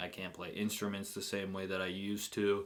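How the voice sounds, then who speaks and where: Talking at a fairly quick pace, the speaker has a normal speaking voice. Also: man. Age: 20s. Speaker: reaction video youtuber. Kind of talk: casual reaction commentary.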